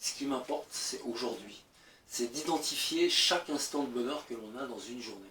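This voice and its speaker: The speaker is a man with a medium pitch. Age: 60s. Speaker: conference speaker. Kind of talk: talk to a live audience.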